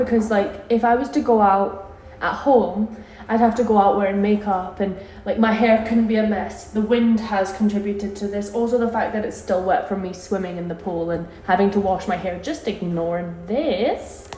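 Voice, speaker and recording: Woman at medium pitch and moderate pace, ordinary pitch variation, with noticeable background noise and audible room echo. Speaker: vlogger. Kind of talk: travel vlog, casual chat to camera. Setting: on a cruise ship, partly outdoors. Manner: animated.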